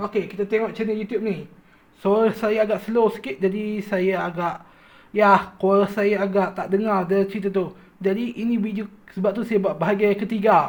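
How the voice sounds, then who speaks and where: A man with a high pitch talks at a moderate pace. His intonation is monotone and flat. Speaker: YouTuber reviewing cartoon channels. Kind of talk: casual commentary video. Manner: loud, raised voice.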